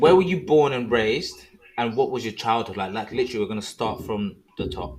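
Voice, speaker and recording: A man's medium-pitched voice in a strong British accent, fairly quick and lively in intonation, over noticeable background noise. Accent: thick British. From London, England. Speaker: podcast host. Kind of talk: casual interview chat.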